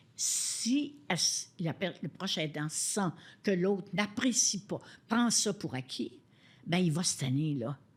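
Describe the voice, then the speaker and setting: A woman's somewhat breathy, medium-pitched voice at a very slow pace, with very wide pitch swings. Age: 80s+. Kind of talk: interview answer.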